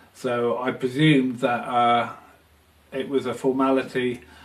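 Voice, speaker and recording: Over noticeable background noise, a man with a medium pitch speaks fairly slowly in a flat monotone. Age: 50s. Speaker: photographer with multiple sclerosis. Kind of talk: testimony. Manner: halting, many fillers.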